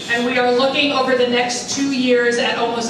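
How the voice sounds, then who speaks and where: There is audible room echo and noticeable background noise as a woman speaks at a moderate pace with a high pitch. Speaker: guest. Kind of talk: public speech. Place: hall.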